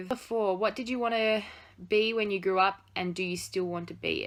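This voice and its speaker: A woman talks with an Australian accent and fairly even intonation. The recording is very clean, with a silent background. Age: 20s. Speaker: vlogger. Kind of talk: casual Q&A vlog. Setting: home study. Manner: chatty, informal.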